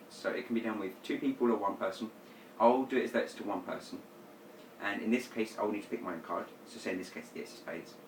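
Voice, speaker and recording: A man rattles off his words very quickly while clear background noise carries on behind him. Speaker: magician teaching card tricks. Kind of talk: tutorial. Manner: fast.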